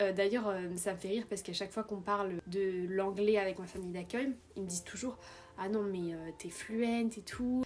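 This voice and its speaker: The pace is fairly quick. A woman talks at a medium pitch. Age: 20s. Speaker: vlogger, exchange student. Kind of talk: casual vlog Q&A. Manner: animated.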